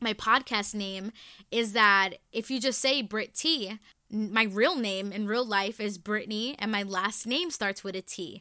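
A woman's fairly high, bright, sharp voice with an American accent and ordinary pitch variation at a fairly slow pace, in a very clean recording with a silent background. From New York City, the Bronx. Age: 20s. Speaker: podcast host. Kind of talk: casual monologue. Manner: loud; animated.

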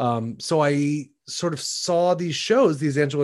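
A man with a Midwestern accent talks with ordinary pitch variation against a quiet background. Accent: General American (Midwest). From US Midwest, Shaker Heights, Ohio. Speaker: Broadway actor. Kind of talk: casual chat. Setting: video call.

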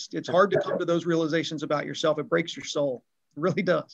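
Here a man has an unremarkable speaking voice, fairly high in pitch, with fairly even intonation. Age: 50s. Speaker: retail loss prevention executive. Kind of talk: casual interview chat.

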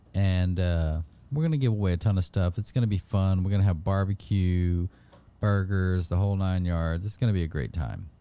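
This man has a dark, mellow tone and a very deep, low pitch. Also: ordinary pitch variation, fairly quick pace. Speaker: fishing podcast host. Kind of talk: casual chat.

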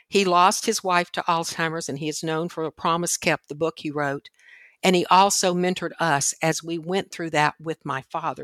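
A woman with an American accent and an ordinary speaking voice talks at a moderate pace and fairly low pitch, her intonation fairly even, on a very clean recording with a silent background and a dry, close sound with no echo. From Washington, D.C. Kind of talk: interview.

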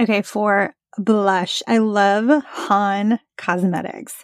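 On a very clean recording with a silent background and a dry, close sound with no echo, a woman talks in an animated tone. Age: 40s. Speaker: podcast host, environmental lawyer. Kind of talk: casual solo podcast talk. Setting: recording in a closet while traveling. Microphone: portable setup without sound dampening panels.

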